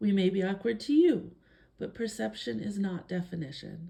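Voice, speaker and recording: A woman speaks at a moderate pace in a calm tone, her pitch medium. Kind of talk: reading aloud a personal statement.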